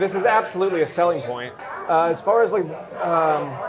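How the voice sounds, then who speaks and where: A man with an American accent speaks at a fairly quick pace in a fairly high pitch, with audible room echo and noticeable background noise. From Northern California (Davis, near Sacramento). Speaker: real estate agent. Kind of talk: casual chat.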